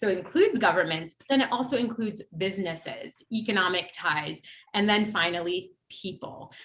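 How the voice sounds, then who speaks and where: A woman talks with an Ohio accent. Her pitch swings very widely. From US Midwest, Ohio. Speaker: former government policy advisor, panelist. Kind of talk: panel discussion talk. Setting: virtual event, video call.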